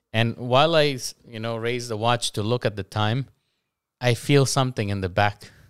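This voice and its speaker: A man in a normal speaking voice, medium pitch, fairly even intonation and a moderate pace, on a very clean recording with a silent background. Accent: American. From US, Guatemalan family. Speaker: English teacher. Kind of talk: casual interview chat.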